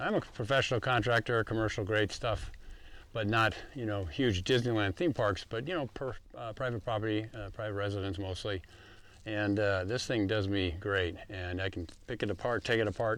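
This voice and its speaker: A plain, everyday voice from a man, fairly low in pitch with ordinary pitch variation, at a moderate pace on a very clean recording with a silent background. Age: 60s. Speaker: concrete contractor and course teacher. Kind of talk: tutorial. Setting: outdoors. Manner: casual, with fillers.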